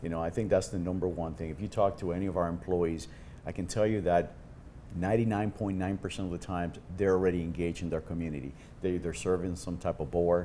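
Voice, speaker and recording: In a Cuban accent, a man with a very deep, low voice talks very fast, keeping his intonation fairly even. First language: Spanish. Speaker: insurance executive. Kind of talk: podcast interview.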